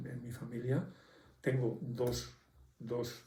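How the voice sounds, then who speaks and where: Through audible room echo, a man's medium-pitched voice comes across with a dark, mellow tone and vocal fry. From Santander, northern Spain. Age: 70s. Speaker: elderly interviewee. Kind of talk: testimony.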